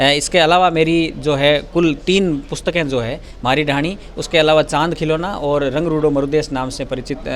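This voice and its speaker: The speaker has a Rajasthani accent and fairly even intonation. Noticeable background noise is present. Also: man, fairly high pitch for a man. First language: Rajasthani (speaking Hindi). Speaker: stage lyricist and children's author. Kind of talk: interview.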